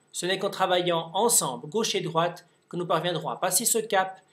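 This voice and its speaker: A man's high voice at a fairly quick pace, fairly even in intonation, on a very clean recording with a silent background. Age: 30s. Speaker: politician. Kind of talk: campaign speech.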